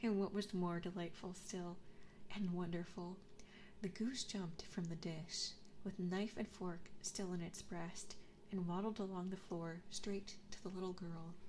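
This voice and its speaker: A woman speaks at medium pitch and a fairly slow pace with monotone, flat intonation. Noticeable background noise runs underneath. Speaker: ASMR vtuber streamer. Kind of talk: storybook reading, fairy tale narration. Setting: binaural 3D microphone. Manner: soft, soothing, whispered.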